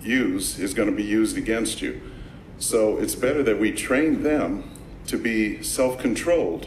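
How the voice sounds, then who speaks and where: A man with an American accent at a fairly slow pace, with audible room echo. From Los Angeles, South Central. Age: 60s. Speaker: public commenter, martial arts instructor. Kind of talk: public comment at meeting.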